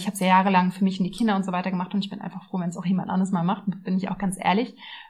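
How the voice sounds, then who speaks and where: This woman talks at a very fast pace. Her pitch is medium. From Berlin, Germany. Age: 30s. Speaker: nutrition coach and podcast host. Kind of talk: casual personal monologue. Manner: chatty.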